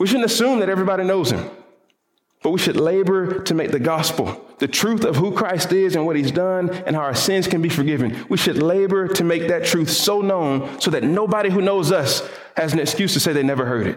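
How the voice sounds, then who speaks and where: With a Southern US accent, a man speaks at a fairly quick pace with a high pitch and ordinary pitch variation. His loudness stays very even, and room echo is audible. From US South. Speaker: pastor. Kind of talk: sermon. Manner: repeats words when thinking aloud.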